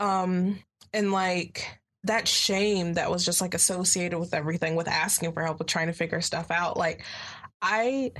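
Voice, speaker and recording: In an American accent, a woman with an ordinary speaking voice talks at a moderate pace and fairly low pitch, with fairly even intonation and very even loudness. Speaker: college student. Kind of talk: casual chat.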